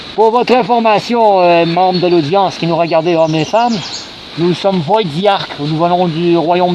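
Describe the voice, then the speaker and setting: A man talks at a moderate pace in a high pitch, with ordinary pitch variation and noticeable background noise. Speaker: LARP video host. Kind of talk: casual chat in character at live-action role-play. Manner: halting, many repetitions and fillers.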